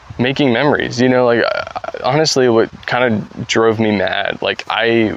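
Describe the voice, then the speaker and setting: Against noticeable background noise, a man talks at medium pitch with ordinary pitch variation. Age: 20s. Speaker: YouTuber. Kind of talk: casual vlog monologue. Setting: outdoors, backyard. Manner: hesitant, many fillers.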